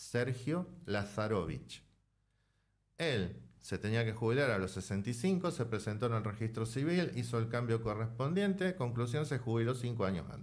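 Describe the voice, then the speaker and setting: A man with a medium-pitched, somewhat breathy voice speaks at a fairly slow pace with lively intonation. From Argentina. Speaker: author and political science lecturer; political science lecturer. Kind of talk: interview. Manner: measured, explanatory. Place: studio. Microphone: studio mic.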